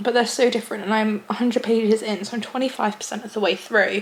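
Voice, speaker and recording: Noticeable background noise sits behind a woman talking at a fairly quick pace. Her pitch is fairly high and her intonation fairly even. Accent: English. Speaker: booktuber. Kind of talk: casual vlog talk to camera.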